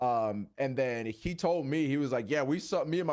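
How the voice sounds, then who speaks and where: With an ordinary speaking voice, a man talks fairly high in pitch and with ordinary pitch variation. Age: 20s. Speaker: YouTuber, wrestling content creator. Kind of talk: casual chat.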